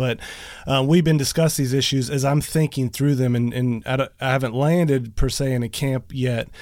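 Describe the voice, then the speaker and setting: At a fairly quick pace, a man of medium pitch talks in an unremarkable speaking voice. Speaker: podcast host. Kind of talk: casual interview. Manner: excitable.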